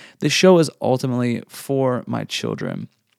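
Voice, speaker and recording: The recording is very clean with a silent background as a man talks at a moderate pace in an ordinary speaking voice. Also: dry, close sound with no echo. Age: 30s. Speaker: podcast host, father and former Air Force member. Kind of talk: solo monologue introduction. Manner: casual with frequent fillers and repetitions.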